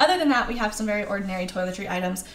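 A woman talks with ordinary pitch variation. Light background noise and audible room echo can be heard. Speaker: travel vlogger. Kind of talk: tutorial. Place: home room.

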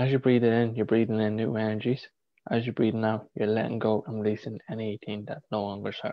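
A man talks at a very fast pace in a flat monotone. The sound is dry with no echo, and the background is quiet. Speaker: spiritual healer. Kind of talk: guided meditation. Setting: live video stream. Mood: calm, soothing. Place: home room. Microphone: video call.

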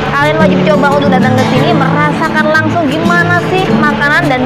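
A woman speaks over loud background music. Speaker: food vlogger host. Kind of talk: casual vlog chat. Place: cafe.

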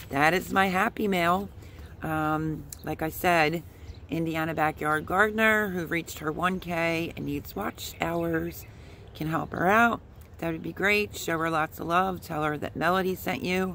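Her fairly low voice shows ordinary pitch variation as this woman speaks at a fairly slow pace. The sound is dry with no echo, with light background noise. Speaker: gardening vlogger. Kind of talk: casual vlog chat. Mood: cheerful, grateful. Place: garden. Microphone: phone near.

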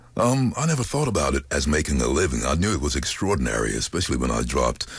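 A man with a very deep, low pitch and vocal fry speaks at a very fast pace with very wide pitch swings and very even loudness, the sound dry with no echo. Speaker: voice actor. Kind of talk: interview answer. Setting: studio. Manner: casual, upbeat. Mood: relaxed, storytelling. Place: studio. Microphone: studio mic.

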